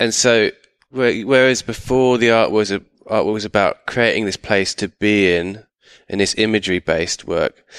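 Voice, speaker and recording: A man with a southern English accent speaks at a fairly low pitch and a moderate pace, his intonation fairly even. The sound is dry and close with no echo, over a quiet background. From England, outside London. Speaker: artist. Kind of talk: interview. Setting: artist's studio.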